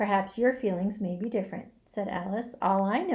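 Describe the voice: Someone does plain reading aloud. That is all the clip holds.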